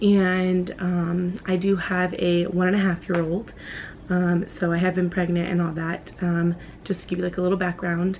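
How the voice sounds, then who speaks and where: A woman is speaking. Her voice is soft-spoken. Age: 20s. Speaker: vlogger. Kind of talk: personal vlog. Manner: soft-spoken, quiet; hesitant, many fillers.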